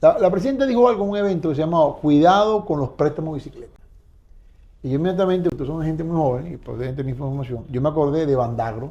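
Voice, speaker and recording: A man talks at a very fast pace with lively intonation. His fairly high voice has a dark, mellow tone. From Venezuela, Bolívar state (San Félix area). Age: 60s. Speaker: lawyer and oil business association director. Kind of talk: interview.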